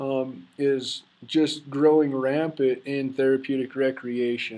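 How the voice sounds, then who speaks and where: A man with an Idaho accent, medium in pitch, very slow and monotone with flat intonation. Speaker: student. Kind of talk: class presentation.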